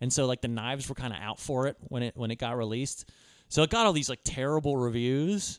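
A man with a normal speaking voice talks fairly quickly in a fairly high register. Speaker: podcast host. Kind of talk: casual banter, movie discussion.

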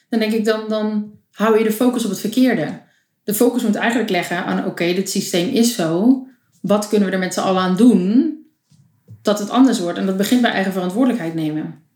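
Using an unremarkable speaking voice, the woman talks fairly high in pitch, with ordinary pitch movement. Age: 20s. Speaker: photographer. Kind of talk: casual chat.

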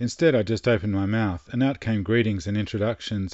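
Fairly quick man's voice in an Australian accent, fairly low in pitch, with ordinary pitch variation. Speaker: travel storyteller. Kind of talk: scripted narration.

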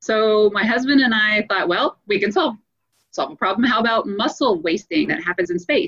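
A woman's fairly high-pitched, normal speaking voice with an American accent, lively intonation and a moderate pace. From US South, Louisiana. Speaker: space agency scientist. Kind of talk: interview.

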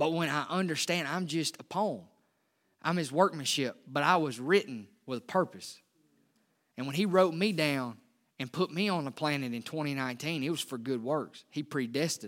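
A man's fairly high voice with lively intonation, in a very clean recording over a silent background. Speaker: pastor. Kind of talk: sermon. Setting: church. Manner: fast.

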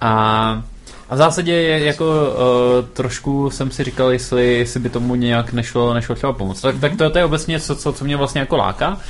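Speaking at a moderate pace and medium pitch, a man is heard over noticeable background noise. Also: ordinary pitch variation. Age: 20s. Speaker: startup founder. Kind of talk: interview.

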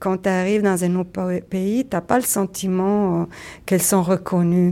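The recording is very clean and the background silent. In it, a woman talks at a medium pitch. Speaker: community organizer. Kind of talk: interview. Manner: hesitant, halting with fillers.

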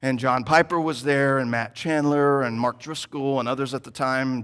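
On a very clean recording with a silent background, a man of medium pitch talks at a moderate pace with ordinary pitch variation in an unremarkable speaking voice. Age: 30s. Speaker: church planting resident preaching. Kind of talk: sermon. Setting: church service.

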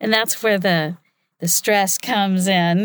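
A woman talks at a moderate pace in a plain, everyday voice of medium pitch. The recording is very clean, with a silent background. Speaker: voiceover artist. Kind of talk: talk to an audience. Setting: stage with audience.

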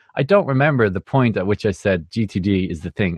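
With an Irish accent, a man speaks at a fairly low pitch using ordinary pitch variation. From Ireland. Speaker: music producer. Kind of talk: casual interview.

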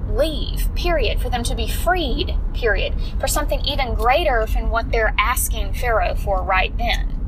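A woman speaking at a fairly slow pace, with audible room echo and noticeable background noise. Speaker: fitness coach and podcast host. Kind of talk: casual devotional monologue.

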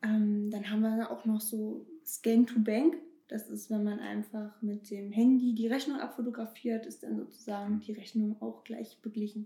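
Speaking at a moderate pace, a woman with a fairly high pitch and a dark, mellow tone sounds somewhat breathy in a flat monotone. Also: big swings in loudness. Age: 20s. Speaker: bank marketing employee. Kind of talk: casual interview.

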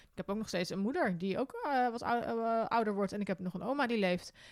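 A woman talks at a very fast pace with ordinary pitch variation on a very clean recording with a silent background. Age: 30s. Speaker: podcast host, hiker and travel writer. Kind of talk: casual interview. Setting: indoor recording in Arnhem.

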